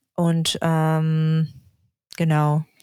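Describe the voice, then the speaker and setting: A woman with a Russian accent speaks at a fairly low pitch. Her voice is dry and close with no echo, on a very clean recording with a silent background. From Yakutsk, Russia. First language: Russian (speaking German). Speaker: urban planning student. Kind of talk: interview. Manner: halting.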